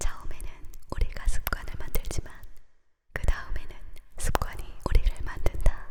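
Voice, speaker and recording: Someone whispering at a moderate pace. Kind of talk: ASMR whispered quote reading for sleep. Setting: studio close-mic, binaural ear-to-ear. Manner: whispered, soft, close-mic.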